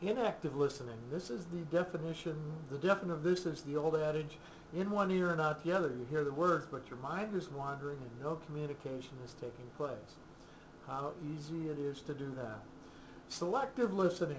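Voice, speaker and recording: A man with a fairly high pitch at a fairly quick pace, with audible room echo. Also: ordinary pitch variation. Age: 60s. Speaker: counselor. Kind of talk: casual explanatory video talk. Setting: recorded to camera. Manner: halting, with many fillers.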